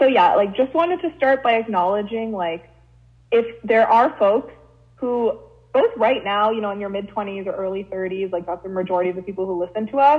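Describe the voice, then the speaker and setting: Lively intonation runs through a woman's fairly high-pitched voice at a moderate pace. It is an unremarkable speaking voice. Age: 20s. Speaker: podcast co-host. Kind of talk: casual chat.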